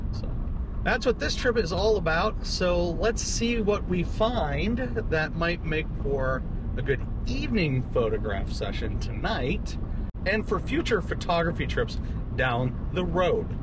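A man speaks at a fairly slow pace. The sound is dry with no echo, but there is noticeable background noise. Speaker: photography vlogger. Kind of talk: casual vlog chat. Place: car. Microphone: camera far.

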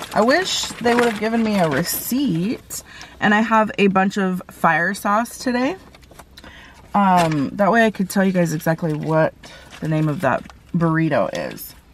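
A woman at a fairly slow pace, in a dry sound with no echo and light background noise. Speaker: food vlogger. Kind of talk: casual vlog chat. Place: car. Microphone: phone near.

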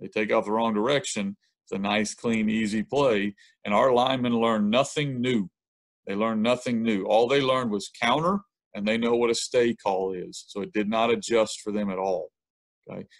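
A man with a Southern US accent at medium pitch, moderate pace and ordinary pitch variation, in a dry, close sound with no echo. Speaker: high school football coach. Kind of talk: coaching clinic presentation.

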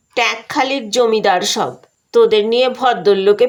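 Against a quiet background, the pitch shifts in an ordinary way in this natural reading voice.

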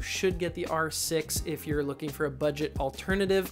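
Clear music plays in the background as a man speaks at a moderate pace. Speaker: filmmaker reviewer. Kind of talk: product review. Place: home room. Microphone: lapel.

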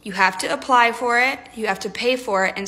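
A woman talks in an upbeat tone at a fairly quick pace. Her pitch varies in an ordinary way. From Texas. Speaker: travel nurse. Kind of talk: tips video. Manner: upbeat, chatty. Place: home room. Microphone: phone near.

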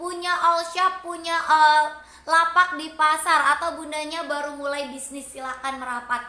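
A woman projects a raised voice at an extremely high pitch, her tone both warm and bright, sharp. She keeps a fairly slow pace and fairly even intonation, with audible room echo. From Cirebon, West Java. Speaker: online seller. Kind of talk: live-stream sales pitch. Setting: live stream to online audience. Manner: warm, chatty, effusive. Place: shop. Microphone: phone near.

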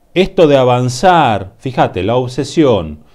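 With a Rioplatense accent, a man of medium pitch speaks using lively intonation. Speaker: tarot reader. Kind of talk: tarot reading monologue. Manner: halting, many fillers.

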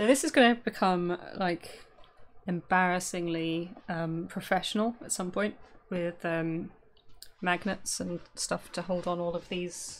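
A woman with a plain, everyday voice speaks at a fairly low pitch and a fairly slow pace, with ordinary pitch variation, big swings in loudness and light background noise. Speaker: live streamer. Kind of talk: casual stream chat. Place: home room.

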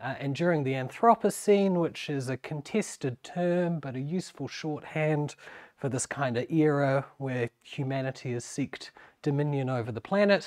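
At a moderate pace, a man with a New Zealand accent talks in a fairly high pitch against a quiet background. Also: ordinary pitch variation. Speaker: university lecturer. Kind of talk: academic lecture. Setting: seminar room with audience. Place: meeting room.

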